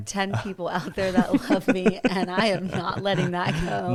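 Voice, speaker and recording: A woman speaks at a medium pitch with ordinary pitch variation, over noticeable background noise. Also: moderate pace. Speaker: podcast co-host.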